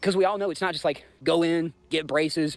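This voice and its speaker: With a Southern US accent, a man speaks high-pitched and fairly quick on a very clean recording with a silent background. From US South, Georgia. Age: 30s. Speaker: livestreamer. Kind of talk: casual livestream chat. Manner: animated.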